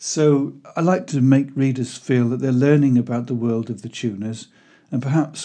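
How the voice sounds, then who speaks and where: A dark, mellow tone at a moderate pace, with fairly even intonation over a quiet background. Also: man. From Wales (Pembrokeshire). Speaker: historical fiction author. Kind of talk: scripted narration.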